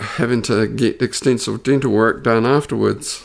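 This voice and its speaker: A man with an Australian accent. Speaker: injured worker sharing personal story. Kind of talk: personal testimony. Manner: stuttery, halting.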